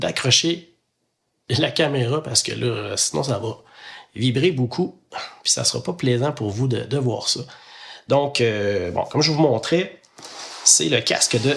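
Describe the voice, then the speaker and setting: A man with a Quebec accent, medium pitch, lively intonation, a somewhat breathy voice and a fairly slow pace. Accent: Québécois French. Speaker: podcaster. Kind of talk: casual chat while building Lego. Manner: hesitant, many filler sounds.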